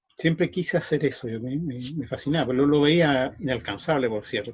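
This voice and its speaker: A man with a Chilean accent speaks at a fairly high pitch, somewhat breathy. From Chile, Santiago. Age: 60s. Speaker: magician. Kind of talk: interview. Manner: halting.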